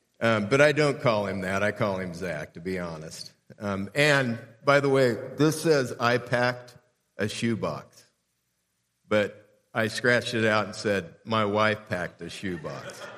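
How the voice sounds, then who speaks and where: With an American accent and an unremarkable speaking voice, a man speaks at a fairly slow pace, his fairly low pitch carrying lively intonation. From Southern California (Southeast LA). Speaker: pastor. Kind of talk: sermon. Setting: church.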